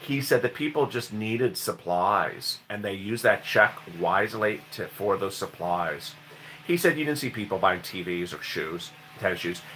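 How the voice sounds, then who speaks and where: A man's fairly low voice with a bright, sharp tone. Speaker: news commentary youtuber. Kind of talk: solo news commentary reading viewer comments. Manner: animated, enthusiastic.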